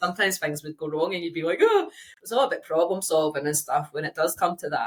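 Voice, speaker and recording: A woman talks in a Scottish accent at a very fast pace. Her voice is fairly low, with ordinary pitch variation. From Scotland. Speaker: engineering geologist. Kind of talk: casual chat. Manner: loud.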